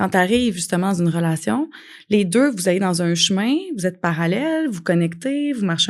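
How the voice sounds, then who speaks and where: A woman's medium-pitched voice, fairly quick with lively intonation, over a quiet background. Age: 40s. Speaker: life coach and podcast host. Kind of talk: podcast monologue. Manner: animated.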